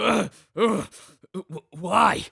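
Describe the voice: In a put-on character voice, a man speaks very slowly at a high pitch, his bright, sharp tone carrying a slightly husky edge and vocal fry, with ordinary pitch variation and a dry, close sound with no echo.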